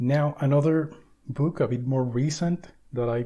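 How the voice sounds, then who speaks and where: With a Spanish accent, a man at medium pitch speaks at a fairly slow pace in a somewhat breathy voice with a dark, mellow tone and fairly even intonation. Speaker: book video essayist. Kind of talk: lecture.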